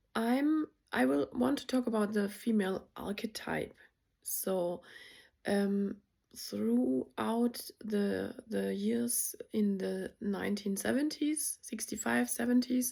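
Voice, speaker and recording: Speaking very slowly with very wide pitch swings, a woman with a medium pitch and a dark, mellow tone talks with a non-native accent. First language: not English. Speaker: spiritual content creator. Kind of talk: casual vlog monologue. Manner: hesitant, many fillers.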